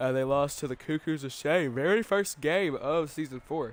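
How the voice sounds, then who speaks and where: The speaker is a man whose pitch sits fairly high. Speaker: sports commentator. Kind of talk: live commentary.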